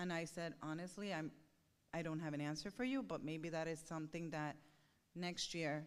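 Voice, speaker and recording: The speaker has a Spanish accent and moves at a moderate pace. The intonation stays fairly even. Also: woman. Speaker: parent speaking at a school board meeting. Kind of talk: public comment at a board meeting. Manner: halting, with many fillers.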